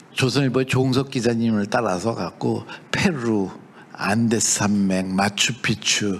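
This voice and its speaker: The speech comes at a fairly slow pace with ordinary pitch variation and noticeable background noise. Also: man, medium pitch for a man. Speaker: professor and startup CEO. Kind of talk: lecture. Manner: conversational, with many fillers and self-corrections.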